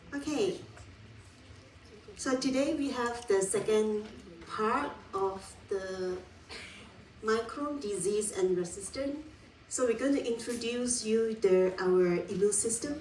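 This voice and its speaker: Speaking very slowly with long, frequent pauses, a woman uses lively intonation at a fairly high pitch, with audible room echo and noticeable background noise. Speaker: university lecturer. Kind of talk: lecture. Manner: loud.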